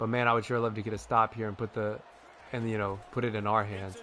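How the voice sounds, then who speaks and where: Here a man talks at a fairly quick pace with an animated tone. His medium-pitched voice has a bright, sharp tone. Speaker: gaming video creator. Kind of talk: gameplay commentary. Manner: loud.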